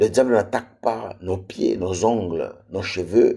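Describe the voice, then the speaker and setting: Very slowly, a man speaks in a fairly low, dark, mellow voice. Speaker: preacher. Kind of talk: sermon. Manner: repetitive, emphatic.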